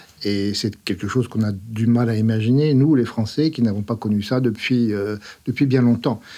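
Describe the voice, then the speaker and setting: A man's dark, mellow voice at a moderate pace, with fairly even intonation, on a very clean recording with a silent background. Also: medium pitch for a man. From France. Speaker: scientist, academy secretary. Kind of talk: interview. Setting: studio.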